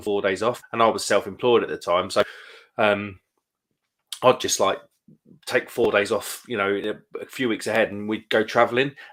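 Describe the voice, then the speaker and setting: Speaking in a Kent accent, a man moves along at a fairly quick pace. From Kent, southeast England. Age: 30s. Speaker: live stream host, beer reviewer. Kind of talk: casual chat. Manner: quiet, keeping voice down.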